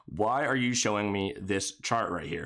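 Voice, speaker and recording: Male speech on a very clean recording, the background entirely silent. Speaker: finance YouTuber. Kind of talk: stock analysis commentary. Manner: fast.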